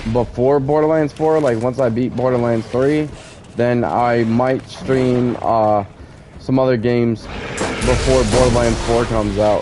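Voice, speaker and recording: Against noticeable background noise, a man talks at a fairly slow pace in a medium pitch, with fairly even intonation and very even loudness. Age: 30s. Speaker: gamer streamer. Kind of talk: casual chat during gameplay stream. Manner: halting, filler-heavy.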